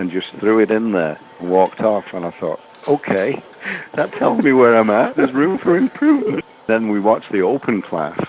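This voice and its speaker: A man speaks at a moderate pace with lively intonation and a medium pitch, over noticeable background noise. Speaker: veteran farrier and former competition champion. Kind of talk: recorded podcast interview, storytelling about his career.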